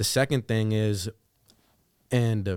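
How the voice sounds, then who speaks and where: A moderately paced voice with an American accent and a dry, close sound with no echo. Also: man. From western Pennsylvania. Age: 20s. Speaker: sales business leader. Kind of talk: casual interview. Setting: studio.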